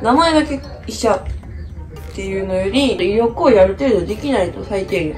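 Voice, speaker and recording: A woman's voice over clear music in the background. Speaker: medical student vlogger. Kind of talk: casual vlog chat. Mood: relaxed, reflective, sleepy morning. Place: home room. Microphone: phone near.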